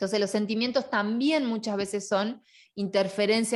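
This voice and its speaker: A woman's voice at medium pitch, with ordinary pitch variation and a moderate pace. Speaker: online course teacher. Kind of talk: lecture. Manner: loud.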